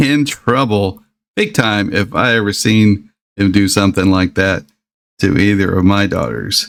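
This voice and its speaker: A man's fairly low voice in a Southern US accent at a very slow pace. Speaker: YouTube music reactor, former DJ. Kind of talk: reaction video commentary. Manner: halting, many fillers.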